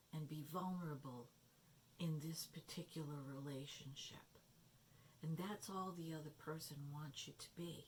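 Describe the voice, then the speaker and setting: A woman speaks quietly in a very deep, low, somewhat breathy voice with fairly even intonation. She leaves long, frequent pauses. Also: moderate pace. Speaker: tarot and oracle card reader. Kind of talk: card reading talk to camera. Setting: no microphone, low volume. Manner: quiet, hushed.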